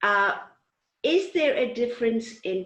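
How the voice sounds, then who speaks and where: Very wide pitch swings at a moderate pace in a woman's fairly high voice. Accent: Zulu. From South Africa, Zulu-speaking countryside. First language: Zulu. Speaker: talk show host. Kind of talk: interview. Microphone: connection out of sync.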